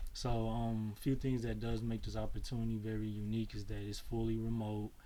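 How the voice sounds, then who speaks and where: Amid audible room echo, a man with an American accent speaks at a moderate pace. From Chicago, US Midwest. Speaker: tax business owner and mentor. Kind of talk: webinar presentation. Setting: video webinar. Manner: casual, many fillers (um, uh).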